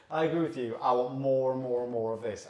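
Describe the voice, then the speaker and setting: Audible room echo carries a man's voice, which has ordinary pitch variation. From Sunderland, northeast England. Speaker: beer reviewer. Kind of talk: casual chat.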